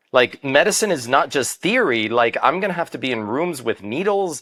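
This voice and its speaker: The voice has a bright, sharp tone and very wide pitch swings, captured in a very clean recording with a silent background. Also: man. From Miami, Florida (Cuban-American family). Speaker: medical doctor. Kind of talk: interview conversation. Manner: conversational, some repetitions and self-corrections.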